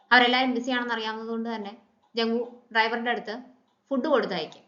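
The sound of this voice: Speaking fast with fairly even intonation, a woman has a bright, sharp tone, and audible room echo surrounds her voice. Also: fairly high pitch for a woman.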